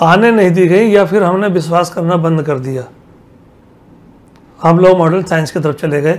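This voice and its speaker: The pace is moderate, with fairly even intonation. Long pauses come often. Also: man. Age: 80s+. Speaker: Ayurvedic healer. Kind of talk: interview.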